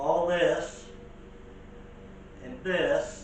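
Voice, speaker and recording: Noticeable background noise and audible room echo surround a man whose voice is high in pitch. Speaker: bus conversion vlogger. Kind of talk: casual vlog narration. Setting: inside a bus being stripped. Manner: halting, repeats words.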